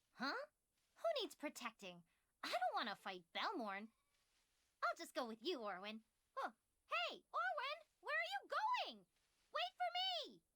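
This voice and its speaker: A put-on character voice at an extremely high pitch moves at a moderate pace. Long, frequent pauses break up the speech. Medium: video game. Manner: breezy, informal.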